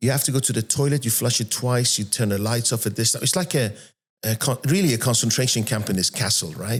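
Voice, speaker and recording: In a very clean recording with a silent background, a man of medium pitch talks at a very fast pace in an animated tone, somewhat breathy, with very even loudness and ordinary pitch variation. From Iran, then Manchester, England from age 13. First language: Persian. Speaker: entrepreneur. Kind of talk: podcast interview. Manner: soft-spoken; animated storytelling.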